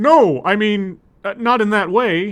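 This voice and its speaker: Someone puts on a character voice and talks at a fairly slow pace. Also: man. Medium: game stream. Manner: strangely excited.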